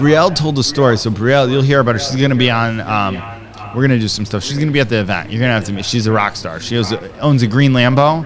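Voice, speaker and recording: A man talks at a very fast pace in an animated tone, at a medium pitch with ordinary pitch variation. Music plays in the background and the room echo is audible. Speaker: entrepreneur and podcaster. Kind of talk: casual chat. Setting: studio.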